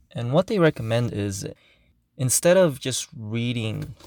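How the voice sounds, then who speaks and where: The recording is very clean, with a silent background. A man with a non-native accent speaks in a medium pitch. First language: not English. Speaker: podcast host. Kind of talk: casual solo monologue. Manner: hesitant, many fillers.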